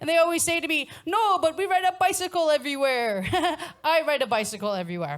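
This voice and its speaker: A woman with an American accent speaks loudly at a moderate pace. Her pitch swings very widely. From United States. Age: middle-aged. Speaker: stand-up comedian. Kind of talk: stand-up comedy set. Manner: loud, blunt.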